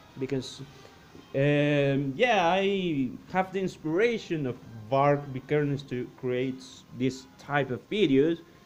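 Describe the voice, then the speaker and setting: Music plays behind a man speaking at a very slow pace. His pitch sits fairly high, with ordinary variation. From Costa Rica. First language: Spanish. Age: 20s. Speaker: science and cosmos youtuber. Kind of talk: casual vlog talk. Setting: grandparents' farmhouse. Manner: halting, many repetitions and fillers.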